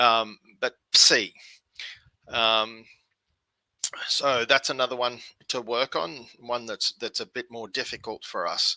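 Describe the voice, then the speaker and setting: Very slow and broken by long, frequent pauses, the speech comes in an Australian accent with a dry, close sound and no echo. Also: man. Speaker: language learner teaching online. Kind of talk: tutorial. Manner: hesitant, many fillers.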